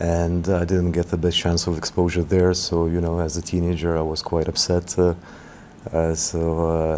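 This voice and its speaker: The speaker is a man with a very deep, low voice. His intonation is monotone and flat. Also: moderate pace, very even loudness. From Lithuania, Vilnius. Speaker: basketball administrator. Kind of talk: interview. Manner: halting, many fillers.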